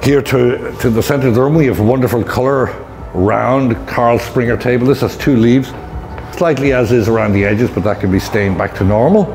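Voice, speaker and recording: A man speaks at a fairly quick pace with ordinary pitch variation. Faint music plays in the background. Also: very even loudness. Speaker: auctioneer giving preview. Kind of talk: walkthrough tour commentary. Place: shop.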